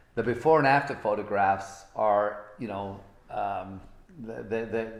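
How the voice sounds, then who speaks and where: A man speaks at a fairly slow pace, with ordinary pitch variation. The room echo is audible. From Britain. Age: 60s. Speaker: motivational speaker. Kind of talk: motivational talk. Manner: animated.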